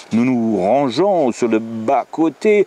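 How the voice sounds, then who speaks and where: A man with a German accent swings his medium pitch very widely, in a dry, close sound with no echo but noticeable background noise. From Germany. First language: German (speaking French). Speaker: storyteller and author. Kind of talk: reading aloud. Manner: animated.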